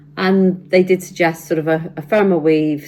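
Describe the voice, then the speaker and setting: A woman with a British accent speaks in a monotone, flat intonation. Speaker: sewing vlogger. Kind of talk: casual tutorial vlog. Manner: hesitant, many fillers.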